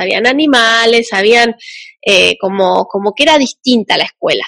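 Her fairly high, bright and sharp voice moves at a moderate pace with ordinary pitch variation, and the woman sounds dry and close with no echo. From Argentina, Entre Ríos. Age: 30s. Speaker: podcast host, homeschooling mother. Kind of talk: casual chat.

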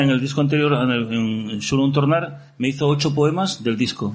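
A man at a medium pitch speaks at a moderate pace with ordinary pitch variation, and room echo is audible. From Asturias, Gijón. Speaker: pop musician. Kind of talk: casual chat. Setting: stage with audience.

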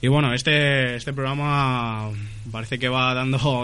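A man's bright, sharp tone at medium pitch and a fairly slow pace. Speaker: radio host. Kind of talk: casual radio chat. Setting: studio. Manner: halting.

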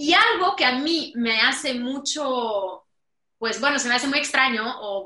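Speaking at a fairly slow pace, a woman with a Mexican accent keeps a fairly high pitch and ordinary pitch variation. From Romania. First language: Romanian (speaking Spanish). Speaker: digital business consultant. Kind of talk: casual chat.

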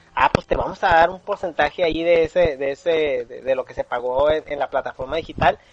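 At a fairly quick pace with hardly any pauses, a man talks at a fairly high pitch with ordinary pitch variation and big swings in loudness, recorded dry and close with no echo over noticeable background noise. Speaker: podcast host. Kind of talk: casual chat.

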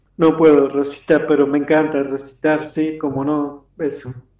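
This man talks at a fairly slow pace. His pitch is fairly high and his intonation monotone and flat. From Argentina, Campana (Buenos Aires province). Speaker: poet. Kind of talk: interview. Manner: halting.

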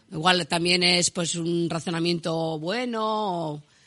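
A woman speaks at a fairly low pitch in a bright, sharp tone. The background is quiet. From Navarre, Basque Country (Spain). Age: 40s. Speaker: improvised verse singer and teacher. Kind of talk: radio interview.

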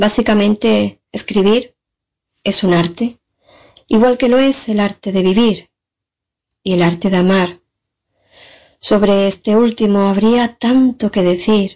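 The tone is dark and mellow, with fairly even intonation. Delivery is very slow, broken by long, frequent pauses. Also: woman, medium pitch for a woman. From San Fernando, Cádiz, Spain. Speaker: poet. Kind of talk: recorded testimony and poetry reading.

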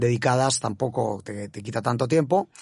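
A man speaks at medium pitch. Vocal fry runs through his voice. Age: 50s. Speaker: bank executive. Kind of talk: interview. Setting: studio.

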